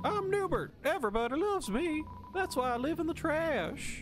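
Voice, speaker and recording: A high-pitched, put-on character voice at a moderate pace, with clear background noise. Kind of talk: reading game dialogue aloud in a character voice. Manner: silly, boastful.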